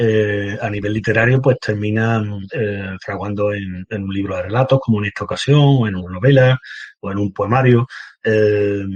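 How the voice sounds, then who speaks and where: A man talks at a moderate pace with a fairly low pitch and fairly even intonation. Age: 50s. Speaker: painter and writer. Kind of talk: interview. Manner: halting, many fillers.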